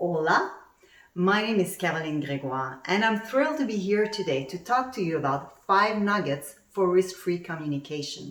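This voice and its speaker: In a Quebec accent, a woman talks with lively intonation and fairly low pitch. Audible room echo is present. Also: moderate pace. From Quebec, Montreal area. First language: French. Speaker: actuary turned coach and speaker. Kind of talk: conference talk. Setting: virtual summit presentation.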